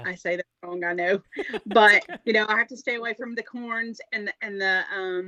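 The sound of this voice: In a Southern US accent, a woman speaks at medium pitch with a bright, sharp tone and fairly even intonation. Her pace is fairly slow, and the sound is dry and close with no echo.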